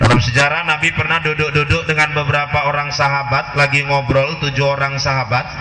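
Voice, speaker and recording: Fairly quick and monotone, a man speaks with flat intonation at a fairly high pitch. Noticeable background noise and audible room echo fill the recording. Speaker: Islamic preacher. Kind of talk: sermon.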